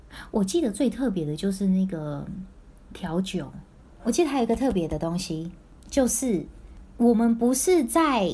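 A woman speaks at medium pitch and a moderate pace, in a somewhat breathy voice with a dark, mellow tone. Her pitch swings very widely, and she leaves long, frequent pauses. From Taiwan, then Singapore and Vancouver from early teens. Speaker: former overseas student. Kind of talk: casual chat.

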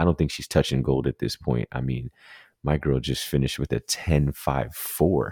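Very deep and low in pitch, a man's voice has a dark, mellow tone, vocal fry and fairly even intonation at a moderate pace, with a dry, close sound and no echo. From Jamaica. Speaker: sports podcast co-host. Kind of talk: casual chat.

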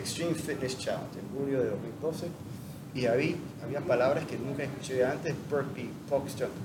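A man with a fairly high pitch talks with fairly even intonation over noticeable background noise and audible room echo. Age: 50s. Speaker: CrossFit athlete. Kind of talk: casual interview.

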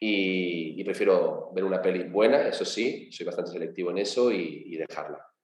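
Audible room echo surrounds a man speaking at a moderate pace with hardly any pauses. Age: 40s. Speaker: sports business co-founder. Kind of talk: interview.

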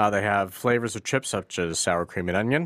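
A man with an ordinary speaking voice talks at a moderate pace, fairly low in pitch, with lively intonation. The recording is very clean with a silent background, and the sound is dry and close with no echo. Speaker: podcast host. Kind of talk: casual chat. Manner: joking, playful, talks over co-host.

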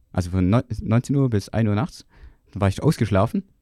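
A man's medium-pitched voice, dark and mellow, with lively intonation at a fairly quick pace, dry and close with no echo. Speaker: podcast co-host, student. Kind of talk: casual chat.

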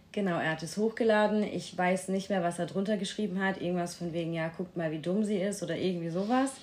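Rattling along at a very fast pace with hardly any pauses, a woman speaks at medium pitch with fairly even intonation over noticeable background noise. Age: 20s. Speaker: retreat participant sharing bullying experience. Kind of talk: personal testimony in interview. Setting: room at a retreat in Portugal.

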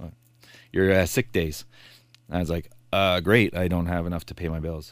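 A man speaks in a very deep, low voice with a Canadian accent. The recording is very clean, with a silent background. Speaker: police officer. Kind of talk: interview. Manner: animated when passionate.

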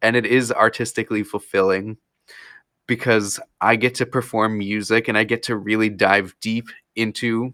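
A man with an American accent and a bright, sharp tone at a moderate pace, in a very clean recording with a silent background. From Florida and New Jersey (Princeton area). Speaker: musician and software entrepreneur. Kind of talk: casual interview.

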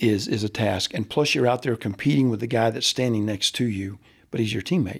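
An ordinary speaking voice with an American accent moves at a fairly quick pace, with ordinary pitch variation. The recording is very clean, with a silent background. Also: man, medium pitch for a man. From US South, Central Florida. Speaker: baseball coach. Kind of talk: interview.

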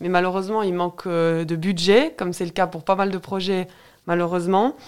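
This is a normal speaking voice at a fairly quick pace with fairly even intonation, captured on a very clean recording with a silent background. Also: woman. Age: 30s. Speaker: local political candidate. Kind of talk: radio interview.

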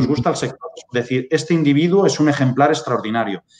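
Lively intonation carries this man's fairly high-pitched voice, an ordinary speaking voice. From Spain. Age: 30s. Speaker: pig farming data consultant. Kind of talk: webinar presentation.

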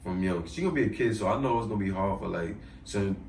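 A very fast-talking man with an American accent, with audible room echo. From Bushwick, Brooklyn, New York. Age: young. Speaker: musician. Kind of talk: casual interview.

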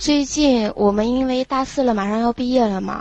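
Speaking at a moderate pace, a woman with a fairly high pitch uses fairly even intonation in an ordinary speaking voice. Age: 20s. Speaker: university student. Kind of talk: casual chat. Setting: call-in from dorm room.

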